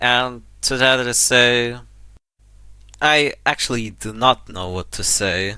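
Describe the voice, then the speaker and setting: A man speaks very slowly, his tone bright and sharp, with a non-native accent. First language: not English. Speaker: indie game developer. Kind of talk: unscripted casual talk to camera. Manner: hesitant, halting.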